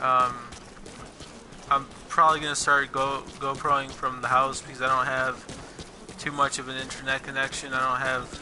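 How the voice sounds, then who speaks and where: Over noticeable background noise, a man talks at a moderate pace with a medium pitch and monotone, flat intonation. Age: 20s. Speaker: gaming vlogger. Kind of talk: casual vlog monologue. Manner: halting, many fillers and repetitions.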